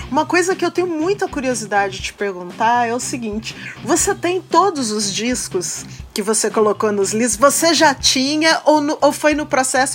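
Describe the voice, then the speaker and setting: Lively intonation moves along at a moderate pace over noticeable background noise. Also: woman. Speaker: podcast host. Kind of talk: casual interview chat.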